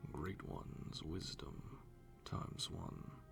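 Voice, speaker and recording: The speaker is soft-spoken. Music plays in the background. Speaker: voiceover practice reader. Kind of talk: ASMR wiki reading for sleep.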